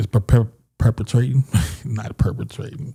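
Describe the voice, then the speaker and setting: His tone is dark and mellow, with vocal fry. The man's intonation is fairly even and his pace moderate. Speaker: live stream commentator. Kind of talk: live stream discussion. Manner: halting, stumbling over words.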